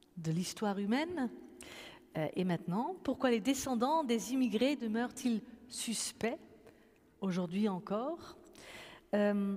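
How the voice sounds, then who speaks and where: In a Dutch accent, a woman with a fairly high pitch and a dark, mellow, somewhat breathy tone speaks very slowly with lively intonation and long, frequent pauses, on a very clean recording with a silent background. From Netherlands. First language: Dutch (speaking French). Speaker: pastor and event moderator. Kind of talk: moderated public conversation. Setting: church with audience. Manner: hesitant, many fillers.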